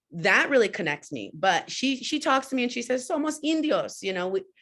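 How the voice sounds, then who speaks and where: Very wide pitch swings from a woman in a very clean recording with a silent background. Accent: New York. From New York City. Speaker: panelist. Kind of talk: panel discussion.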